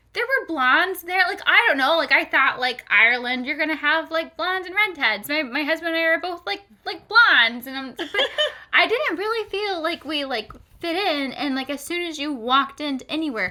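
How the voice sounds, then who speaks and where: An American-accented woman speaks fairly quickly in a raised, projected voice at an extremely high pitch, with an animated tone and lively intonation. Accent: loud American. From Florida, US South. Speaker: podcast co-host. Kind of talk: casual chat. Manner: loud; animated, many fillers.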